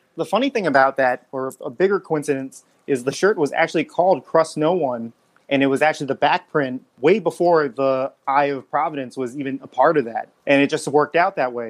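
Fairly quick and fairly high in pitch, a man talks with an unremarkable speaking voice. His ordinary pitch variation comes through a dry, close sound with no echo. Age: 30s. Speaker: clothing brand creator. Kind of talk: casual chat.

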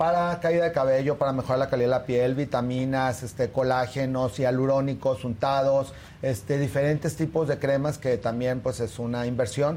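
A man's dark, mellow tone, with very even loudness and hardly any pauses. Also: medium pitch for a man, fairly even intonation, moderate pace. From Torreón, Mexico. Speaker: dermatologist. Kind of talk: tutorial.

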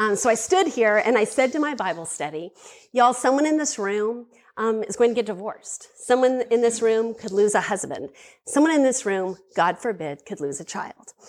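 On a very clean recording with a silent background, a woman with an unremarkable speaking voice talks at a moderate pace and fairly high pitch, her intonation lively. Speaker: speaker at a women's ministry event. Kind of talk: testimony. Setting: stage with audience.

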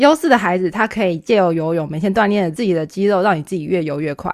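Using lively intonation, a woman speaks at medium pitch in a Taiwanese accent. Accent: Taiwanese Mandarin. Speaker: podcast co-host. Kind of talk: casual chat.

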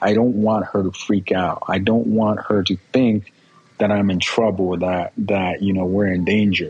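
A man speaks at a fairly slow pace in a fairly low pitch, his loudness very even and his intonation flat and monotone, over noticeable background noise. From Guerrero, Mexico; raised in Escondido, California from age six. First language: Spanish. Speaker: personal injury lawyer. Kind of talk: interview testimony. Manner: halting, repeats words.

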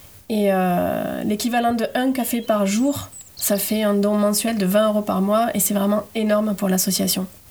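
Over noticeable background noise, a woman talks at a fairly slow pace in a medium pitch, her loudness very even and her intonation flat and monotone. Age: 30s. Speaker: environmental association volunteer. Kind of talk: casual interview.

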